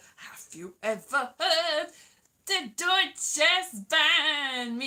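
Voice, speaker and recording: Using a put-on character voice with a German accent, a woman speaks at a very slow pace and a high pitch. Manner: silly, mocking.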